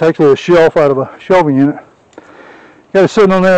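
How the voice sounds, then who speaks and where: A man speaks in a dry recording with no echo. His intonation stays fairly even. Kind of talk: casual DIY tutorial commentary. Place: garden. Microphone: phone near.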